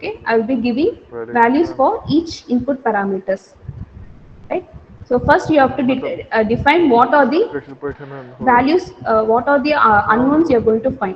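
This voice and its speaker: A woman with a high pitch speaks with long, frequent pauses. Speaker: lecturer. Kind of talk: lecture. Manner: fast.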